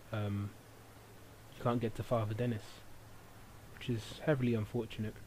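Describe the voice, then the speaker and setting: A man at medium pitch speaks in a dark, mellow, somewhat breathy tone with monotone, flat intonation and long, frequent pauses. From England. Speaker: gaming video commentator. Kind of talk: let's play commentary. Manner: hesitant, many fillers.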